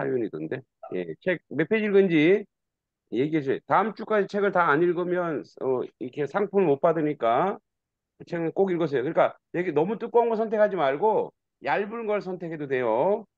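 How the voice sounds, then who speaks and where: High-pitched male voice, dry with no echo, over a quiet background. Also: lively intonation, moderate pace. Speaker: teacher of an online reading class. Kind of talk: class instruction. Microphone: video call.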